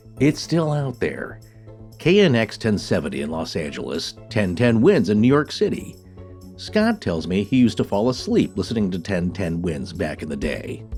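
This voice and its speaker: A man's fairly low voice at a moderate pace, with very wide pitch swings and music in the background. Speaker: podcast co-host. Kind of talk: podcast episode intro narration.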